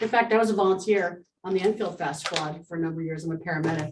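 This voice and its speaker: Fairly quick delivery from a woman, her pitch varying in an ordinary way. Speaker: state senator. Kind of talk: address to town board. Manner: loud.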